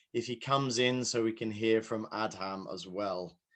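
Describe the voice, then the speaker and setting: With a British accent, a man speaks with fairly even intonation. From UK. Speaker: session moderator. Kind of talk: conference moderation.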